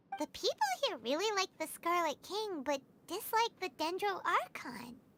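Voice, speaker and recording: This is a put-on character voice, squeaky and extremely high-pitched. It moves at a moderate pace. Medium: video game. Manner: refers to self in third person.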